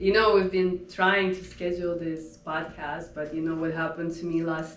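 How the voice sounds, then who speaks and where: A woman with a Russian accent speaks at a fairly slow pace in a fairly low pitch, her intonation monotone and flat. Audible room echo and noticeable background noise surround her. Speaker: home staging business owner. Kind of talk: interview. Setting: podcast.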